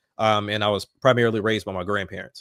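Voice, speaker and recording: A man at medium pitch with a Southern US accent, talking at a fairly quick pace, the sound dry and close with no echo. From US South, Alabama. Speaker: rapper. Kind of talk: casual chat.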